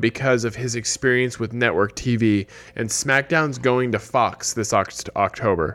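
Speaking at a fairly slow pace, a man has a normal speaking voice at a medium pitch. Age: 30s. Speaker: podcast co-host. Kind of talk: casual chat.

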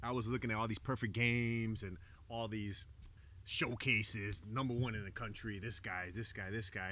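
This man speaks in a Chicago accent at a medium pitch. His tone is bright and sharp, and his pace is moderate. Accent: Chicago American English. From Chicago South Side, Mexican American. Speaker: professional baseball pitcher. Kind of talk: casual chat. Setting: outdoors on a beach.

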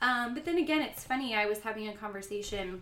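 A woman's lively, up-and-down delivery in an American accent, with audible echo from the room. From Florida, US. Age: 30s. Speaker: podcast guest. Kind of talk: casual chat.

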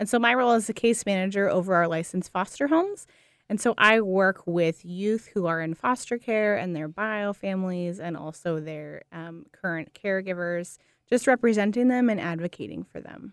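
In an American accent, a woman with an unremarkable speaking voice and a medium pitch talks at a moderate pace with ordinary pitch variation and big swings in loudness, the sound dry and close with no echo on a very clean recording with a silent background. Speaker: foster care case manager and social work student. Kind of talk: radio interview.

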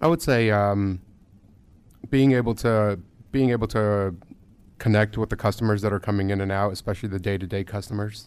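A man with an American accent speaks at a fairly low pitch, leaving long, frequent pauses. The recording is very clean, with a silent background. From India until age 8, then US. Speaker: IT company CEO. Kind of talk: interview. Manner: halting, many fillers.

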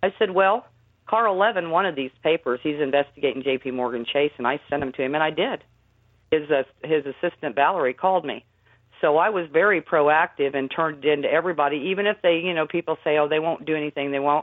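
A woman speaks very fast in a very deep, low voice. Her pitch varies in an ordinary way. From Indiana. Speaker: fraud researcher and activist. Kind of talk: radio interview.

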